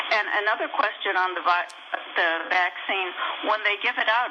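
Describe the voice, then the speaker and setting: With an American accent, a woman at a medium pitch talks at a moderate pace with ordinary pitch variation over noticeable background noise. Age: 70s. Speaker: caller. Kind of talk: call-in question. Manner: halting.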